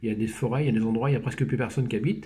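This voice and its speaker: There is audible room echo around this man. His voice is somewhat breathy, with a dark, mellow tone. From Normandy, France (Brionne). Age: 60s. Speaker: researcher and company manager. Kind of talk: casual conversational interview. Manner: halting, many hesitations.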